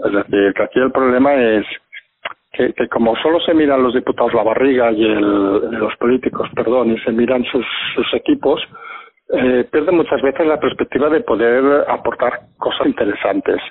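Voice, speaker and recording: A man's voice at a moderate pace, its loudness very even throughout. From Catalonia, Spain (Barcelona). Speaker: political commentator. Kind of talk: casual political discussion. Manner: halting, with repetitions.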